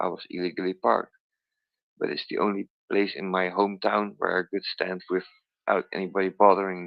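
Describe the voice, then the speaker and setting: Moving at a fairly quick pace, a man speaks with a very deep, low pitch. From Netherlands. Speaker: crypto community member. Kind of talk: casual chat. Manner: animated.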